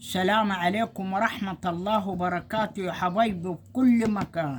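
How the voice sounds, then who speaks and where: A woman's medium-pitched voice with an Egyptian accent, at a fairly slow pace with ordinary pitch variation, over noticeable background noise. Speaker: home cooking vlogger. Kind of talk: casual cooking video.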